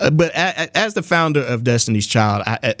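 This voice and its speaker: With a plain, everyday voice, a man talks at a fairly quick pace and medium pitch with lively intonation. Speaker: radio host. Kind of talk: radio interview host. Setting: studio.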